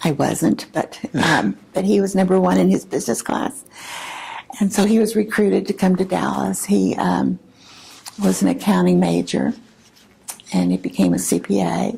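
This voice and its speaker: Speech comes at a moderate pace with long, frequent pauses and very even loudness. Noticeable background noise runs underneath. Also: woman. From Oklahoma. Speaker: retired teacher. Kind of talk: oral history interview answer.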